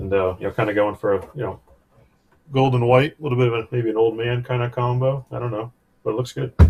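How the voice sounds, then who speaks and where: Over music in the background, a man speaks at a very fast pace with a medium pitch and fairly even intonation. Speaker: RC car hobbyist. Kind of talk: casual live stream chat. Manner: loud.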